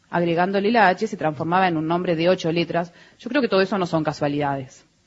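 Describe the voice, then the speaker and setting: With a normal speaking voice, a woman talks at medium pitch and ordinary pitch variation. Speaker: museum director. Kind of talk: radio interview. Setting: live broadcast venue with audience.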